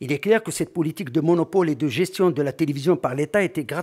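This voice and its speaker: A man is speaking. The background is quiet. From Algeria. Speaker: conference speaker on sports media; conference speaker. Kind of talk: conference talk. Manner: formal. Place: hall. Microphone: podium.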